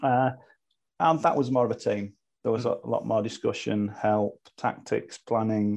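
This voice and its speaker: A British accent with ordinary pitch variation. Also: man. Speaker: online racing team leader. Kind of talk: casual chat.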